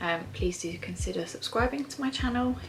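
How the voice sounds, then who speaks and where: A soft-spoken woman talks fairly quickly in an English accent. Noticeable background noise runs behind her. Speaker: vlogger. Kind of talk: casual vlog. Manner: hesitant, lots of fillers.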